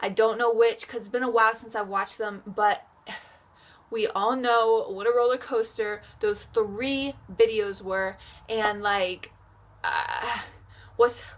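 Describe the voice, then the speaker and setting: A fairly high-pitched, animated woman at a fairly slow pace, with long, frequent pauses and big swings in loudness. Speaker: K-pop reaction youtuber. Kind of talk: reaction video.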